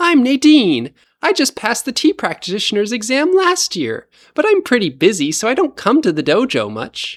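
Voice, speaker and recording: A put-on character voice at a fairly high pitch. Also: moderate pace, very clean recording, silent background. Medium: read story.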